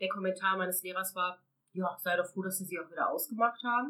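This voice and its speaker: With ordinary pitch variation and a fairly quick pace, a woman speaks in an ordinary speaking voice. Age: 30s. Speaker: abuse survivor sharing her story. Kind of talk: personal testimony.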